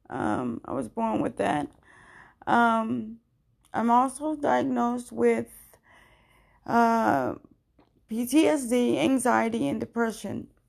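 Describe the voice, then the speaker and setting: A woman speaks at a very slow pace, pausing long and often. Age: 30s. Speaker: personal podcaster journaling her life story. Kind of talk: personal monologue, audio journal. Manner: halting, many fillers.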